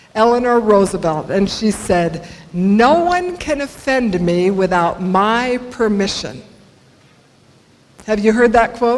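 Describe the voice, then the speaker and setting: With an American accent, a woman talks at a very slow pace in a fairly high pitch, her intonation lively. Noticeable background noise and audible room echo fill the recording. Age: 60s. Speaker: motivational speaker. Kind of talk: inspirational talk. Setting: stage with audience.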